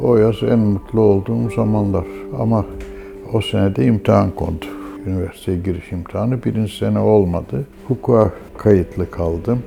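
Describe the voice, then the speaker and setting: A man's very deep, low voice with lively intonation at a moderate pace, amid noticeable background noise. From Istanbul, Turkey. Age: 80s+. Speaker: pharmacist. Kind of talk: documentary interview.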